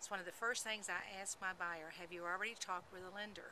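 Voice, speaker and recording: A woman is speaking. She has a Texas accent. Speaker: real estate agent. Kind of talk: informational talk to camera.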